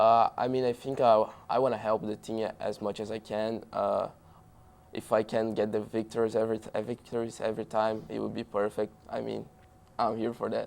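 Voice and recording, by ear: In a Brazilian accent, a man with a fairly low pitch and vocal fry speaks at a moderate pace in a slightly mellow tone, with little pitch movement.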